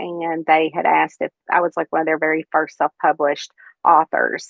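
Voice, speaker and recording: With a Kentucky accent, a woman talks in a fairly low pitch and a monotone, flat intonation. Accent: Kentucky Southern. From central Kentucky. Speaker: cozy mystery author. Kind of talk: interview. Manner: many filler words (um).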